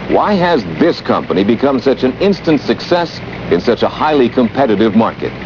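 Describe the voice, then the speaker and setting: Speaking at a fairly quick pace, a man's voice rises and falls in very wide pitch swings amid noticeable background noise. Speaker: mock news anchor. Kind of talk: 1981 spoof TV news broadcast, promotional narration. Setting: scripted promotional video. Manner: formal, polished newsreader delivery, tongue-in-cheek.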